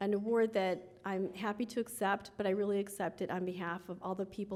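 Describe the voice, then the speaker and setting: Speaking fairly quickly with a Midwestern US accent, a woman keeps her intonation monotone and flat. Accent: US Midwest. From Chicago western suburbs. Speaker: lawyer, award honoree. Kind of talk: award acceptance speech. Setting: gala stage with audience.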